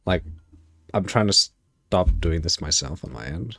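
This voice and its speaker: At a fairly slow pace, a man speaks in a very deep, low pitch with vocal fry. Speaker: streamer. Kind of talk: live stream commentary. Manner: stutters.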